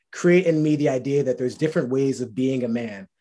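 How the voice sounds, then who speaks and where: Against a quiet background, a man with an American accent speaks in a plain, everyday voice at a fairly high pitch with ordinary pitch variation. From New Rochelle, New York, US. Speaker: HR worker. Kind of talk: casual faith testimony chat.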